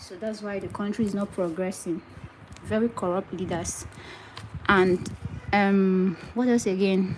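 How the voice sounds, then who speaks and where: Speaking at a moderate pace, a woman uses a medium pitch. She has a Nigerian accent. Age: 20s. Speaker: wig maker. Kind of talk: live stream tutorial and chat. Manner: animated.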